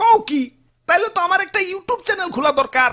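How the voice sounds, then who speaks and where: This cartoonish character voice is extremely high-pitched and delivered at a very fast pace. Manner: pompous, boastful.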